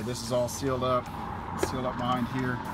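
The talking goes at a fairly quick pace. Clear music sounds in the background. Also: man. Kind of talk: casual explanatory talk to camera. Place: garage. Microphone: phone near.

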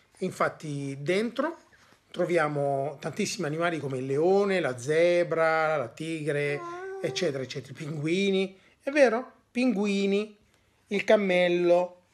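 A man's high pitch at a fairly slow pace with lively intonation. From Italy. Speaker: Italian teacher and father. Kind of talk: language lesson. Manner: hesitant, with many fillers. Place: home room. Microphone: phone near.

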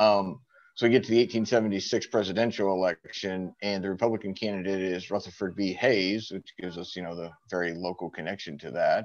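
In a plain, everyday voice, a man talks at a fairly quick pace and fairly low pitch, with fairly even intonation and big swings in loudness. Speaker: church group member, history enthusiast. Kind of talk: group discussion. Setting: video call. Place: home room. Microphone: video call.

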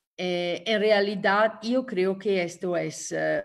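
In an Italian accent, a woman speaks at a very slow pace. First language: Italian (speaking Spanish). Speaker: trade union leader. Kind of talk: lecture. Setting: video call. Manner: halting.

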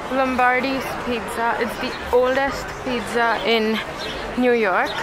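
A woman at a fairly slow pace, dry sound with no echo, noticeable background noise behind her. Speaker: vlogger. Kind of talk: casual vlog chat. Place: street. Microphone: phone near.

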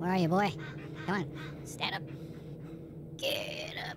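The voice is a cartoonish character act at a middle pitch and moderate pace. Background noise is clearly heard. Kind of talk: let's play gaming commentary. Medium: puppet. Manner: jokey, playful.

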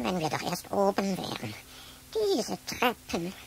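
Against clear background noise, a female-sounding, put-on character voice speaks at a medium pitch and a fairly slow pace. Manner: exhausted, complaining.

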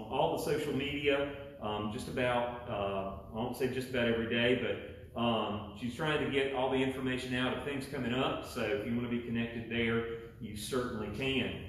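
There is audible room echo and light background noise as a man speaks with fairly even intonation. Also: moderate pace. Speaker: pastor. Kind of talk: welcome announcements before sermon. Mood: warm, chatty. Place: church. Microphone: camera far.

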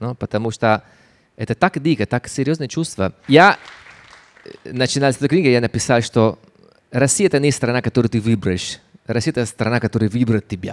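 Over a quiet background, a man with an Italian accent moves at a fairly quick pace but leaves long, frequent pauses. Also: ordinary pitch variation. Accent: Italian-accented Russian. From Italy. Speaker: photographer and writer. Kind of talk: public talk interview. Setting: stage with audience. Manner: halting. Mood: warm, animated. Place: stage. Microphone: handheld.

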